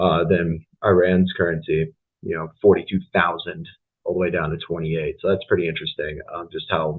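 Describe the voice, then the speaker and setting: Here a man talks with an American accent. His pace is moderate. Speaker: university student. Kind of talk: class presentation. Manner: halting, many fillers.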